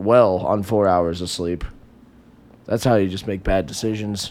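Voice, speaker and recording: The recording is very clean, with a silent background. A man speaks at a fairly slow pace. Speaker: podcast co-host. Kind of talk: casual chat. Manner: animated, up and down; loud.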